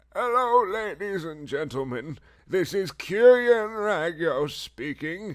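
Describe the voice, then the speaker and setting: A man puts on a cackling character voice, high-pitched with very wide pitch swings. He delivers it at a fairly slow pace. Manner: loud.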